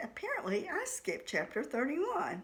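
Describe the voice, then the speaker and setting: There is noticeable background noise behind a woman whose high pitch swings very widely. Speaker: author reading own novel. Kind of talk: casual talk to camera.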